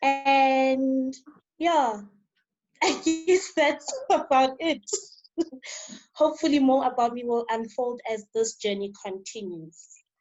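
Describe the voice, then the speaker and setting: Over background music, the speaker goes very slowly with lively intonation and long, frequent pauses. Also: woman. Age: 20s. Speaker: discussion participant. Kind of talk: casual chat.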